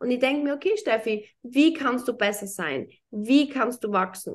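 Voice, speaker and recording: The pitch of this woman's voice is high. She uses lively intonation. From Austria, small town. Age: 30s. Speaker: entrepreneur and former pro golfer. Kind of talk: casual interview chat.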